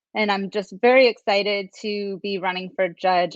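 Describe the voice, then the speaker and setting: Speaking with an American accent at a moderate pace, a woman uses a medium pitch with ordinary variation. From US East Coast, Maryland. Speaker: lawyer and judicial candidate. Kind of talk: interview. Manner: hesitant, many fillers.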